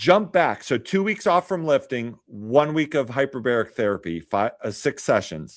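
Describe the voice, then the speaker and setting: At a moderate pace with hardly any pauses, a man swings his pitch very widely in a very clean recording with a silent background. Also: fairly high pitch for a man. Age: 40s. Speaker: hyperbaric clinic worker. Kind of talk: casual interview.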